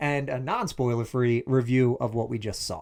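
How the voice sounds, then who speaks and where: A man with a Philadelphia accent, medium pitch, and an animated tone. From Philadelphia, US. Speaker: TV review co-host. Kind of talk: casual chat.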